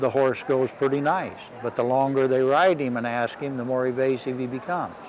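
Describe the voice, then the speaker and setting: With noticeable background noise around him, a man's medium-pitched voice proceeds at a moderate pace. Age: 60s. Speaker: horse bit designer and clinician. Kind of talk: interview.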